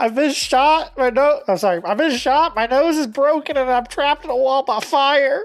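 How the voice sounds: This put-on character voice sounds female, high-pitched and nasal, moving at a moderate pace over faint music in the background.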